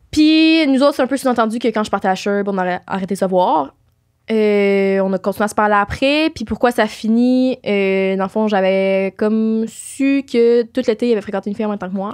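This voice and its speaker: A woman speaks at a moderate pace in a fairly high voice. Her pitch varies in an ordinary way, and the background is quiet. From Quebec. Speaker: podcast host. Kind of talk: casual chat. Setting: studio. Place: studio. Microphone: studio mic.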